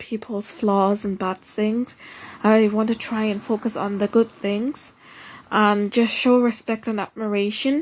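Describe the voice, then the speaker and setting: Someone with a non-native accent speaks fairly slowly with fairly even intonation. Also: woman. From Germany. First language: not English. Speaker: vlogger. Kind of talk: casual monologue. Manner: halting, many fillers and restarts.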